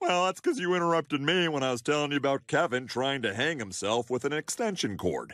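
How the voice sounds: A cartoonish character voice runs at a fairly quick pace with hardly any pauses, in a very clean recording over a silent background. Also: man, fairly high pitch for a man.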